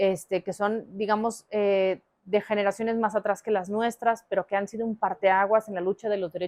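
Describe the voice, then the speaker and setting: A woman with an unremarkable speaking voice talks at a moderate pace and medium pitch, her intonation fairly even, in a dry, close sound with no echo. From Mexico, Aguascalientes. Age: 30s. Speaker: politician. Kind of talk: interview.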